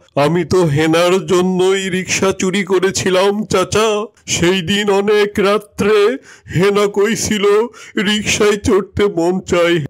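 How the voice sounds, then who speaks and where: In a cartoonish character voice, the speaker goes at a fairly slow pace with monotone, flat intonation and very even loudness. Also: man, high pitch for a man. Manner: melodramatic, keeps saying the address for uncle.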